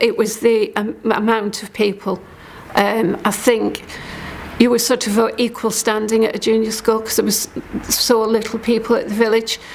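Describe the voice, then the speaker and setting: Fairly high-pitched woman, moderate pace, monotone and flat intonation, with noticeable background noise. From Scotland, St Andrews, Fife. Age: 60s. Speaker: storyteller sharing life story. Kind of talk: personal testimony. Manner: hesitant, many fillers.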